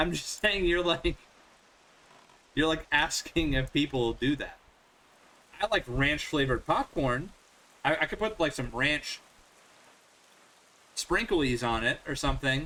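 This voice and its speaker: A man with a fairly high pitch and ordinary pitch variation speaks at a fairly slow pace, with long, frequent pauses. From Northern Virginia, US. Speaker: gaming streamer. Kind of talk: casual chat. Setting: live stream with headphones.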